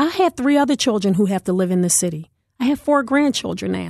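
A woman talks in an American accent. The background is quiet. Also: dry, close sound with no echo. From West Philadelphia. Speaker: politician. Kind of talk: interview. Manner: loud.

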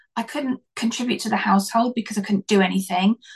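A somewhat breathy woman's voice, fairly high, with fairly even intonation and a dry, close sound with no echo. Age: 50s. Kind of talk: casual interview. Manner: halting.

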